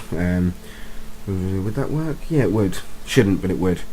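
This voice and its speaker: A fairly quick pace amid noticeable background noise and audible room echo. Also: man. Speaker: gaming YouTuber. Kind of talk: let's play tutorial commentary. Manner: rambling, hesitant with many ums.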